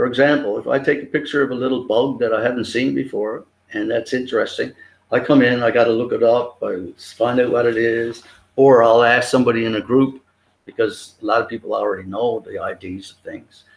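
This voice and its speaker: Delivered at a fairly quick pace with fairly even intonation, this voice carries a Newfoundland accent. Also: man, medium pitch for a man. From Newfoundland, Canada (Grand Falls). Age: 70s. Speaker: photographer. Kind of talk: interview.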